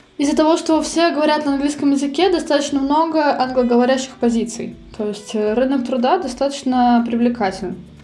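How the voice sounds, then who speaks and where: Speaking at a fairly quick pace, a woman with a high pitch is heard over noticeable background noise, with audible room echo. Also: ordinary pitch variation. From Russia. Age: 20s. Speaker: emigrant interviewee. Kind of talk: interview. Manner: halting.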